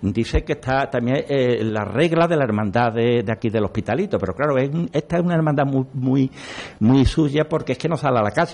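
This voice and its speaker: A man speaks in a normal speaking voice. His pace is fairly quick and his intonation lively. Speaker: local historian, brotherhood member. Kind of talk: radio panel discussion.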